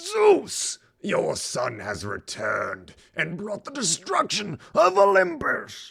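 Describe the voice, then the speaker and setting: At a very slow pace, someone delivers a raspy, put-on character voice. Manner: grim, solemn, imposing.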